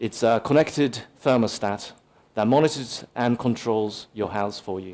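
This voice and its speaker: A man with a medium-pitched voice talks at a moderate pace, using ordinary pitch variation. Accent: Japanese. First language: Japanese. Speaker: tech conference speaker, solutions architect. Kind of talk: conference talk. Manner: casual, many filler words.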